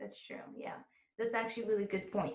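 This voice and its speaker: A woman's fairly high, somewhat breathy voice in a monotone, flat intonation. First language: Arabic and French. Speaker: exam prep course host, interviewer. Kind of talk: interview.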